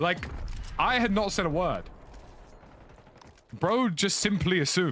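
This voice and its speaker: A man's high voice with a strong London accent, very even loudness and a fairly slow pace, amid noticeable background noise and audible room echo. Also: ordinary pitch variation. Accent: thick London. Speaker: gaming streamer. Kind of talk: casual chat while gaming. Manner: animated.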